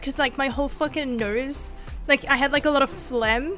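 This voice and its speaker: A woman uses a put-on character voice, nasal and high-pitched, at a moderate pace. Music plays in the background. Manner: stuffy-nosed demonstration.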